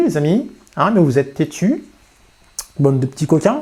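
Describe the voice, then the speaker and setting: A dark, mellow male voice, its pitch swinging very widely. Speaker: FPV drone youtuber. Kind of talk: casual vlog talk to camera. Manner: hesitant, many fillers.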